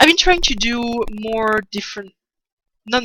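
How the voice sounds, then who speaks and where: At a fairly slow pace, a woman with a French accent speaks in a bright, sharp tone. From France. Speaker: artist streamer. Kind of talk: casual livestream chat while drawing. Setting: livestream. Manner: halting, many restarts. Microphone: poor sound early in stream.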